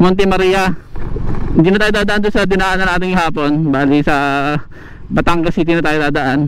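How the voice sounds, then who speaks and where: Light background noise sits under a voice with ordinary pitch variation at a moderate pace, in a dry sound with no echo. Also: man. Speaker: moto vlogger. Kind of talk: casual vlog chat. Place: motorbike.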